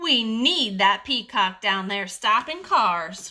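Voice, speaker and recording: A woman in a put-on character voice speaks at medium pitch and a fairly slow pace with lively intonation. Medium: read story.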